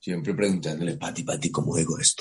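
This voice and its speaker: A man is talking. His pace is fairly quick. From Colombia, Cartagena. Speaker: actor. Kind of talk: interview. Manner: halting, many repetitions.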